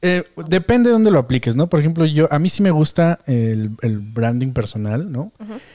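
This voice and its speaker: A man with a Mexican accent talks at a moderate pace, his fairly high pitch swinging very widely over a dark, mellow tone. The recording is very clean and dry, close with no echo and a silent background. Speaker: podcast host and developer. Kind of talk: casual chat.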